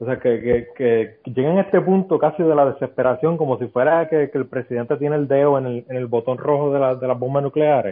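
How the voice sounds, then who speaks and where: A man talks at a fairly quick pace with hardly any pauses, in a plain, everyday voice. His pitch is fairly high, with ordinary pitch variation. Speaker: podcast guest. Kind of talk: casual chat.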